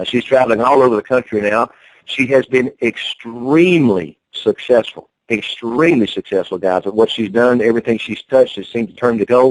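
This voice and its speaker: A man with a Southern US accent at medium pitch and a fairly quick pace, ordinary pitch variation, in a dry, close sound with no echo. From North Carolina. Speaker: network marketing promoter. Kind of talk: conference call sales pitch. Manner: animated.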